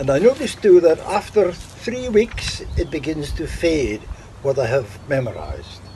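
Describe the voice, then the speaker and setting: A man talks at a fairly slow pace with a fairly high pitch and very wide pitch swings. Noticeable background noise runs beneath his voice. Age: 80s+. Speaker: poetry enthusiast. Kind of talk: interview.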